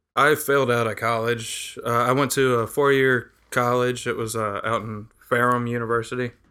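A man with an American accent speaks at a medium pitch with a bright, sharp tone and monotone, flat intonation. His moderate pace has hardly any pauses, on a very clean recording with a silent background. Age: 30s. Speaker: podcast guest. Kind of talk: casual chat.

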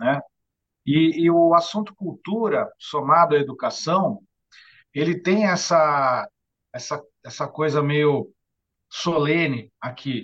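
A man's very slow delivery, with long, frequent pauses and ordinary pitch variation. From Santos, São Paulo state, Brazil. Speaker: bookseller and author. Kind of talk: interview conversation. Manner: halting, frequent word repetitions. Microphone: lower audio quality due to bad internet.

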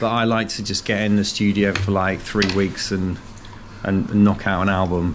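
Moderate-paced speech from a man with a fairly low pitch, over noticeable background noise. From English West Midlands, near Worcester. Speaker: blues rock musician. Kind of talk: casual radio interview.

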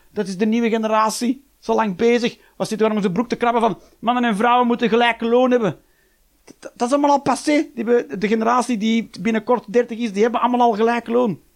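An animated man at an extremely high pitch, talking at a fairly quick pace. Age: 40s. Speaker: comedian. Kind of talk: stand-up.

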